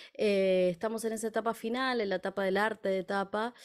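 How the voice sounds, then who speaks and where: A woman speaks fairly quickly, her intonation fairly even, with a quiet background behind her. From Argentina, La Plata. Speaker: folk singer and music teacher. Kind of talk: interview. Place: home room. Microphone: studio mic.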